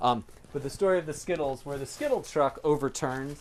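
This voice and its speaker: A man's fairly high voice at a fairly quick pace. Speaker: animal sanctuary caretaker. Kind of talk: casual chat. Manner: loud.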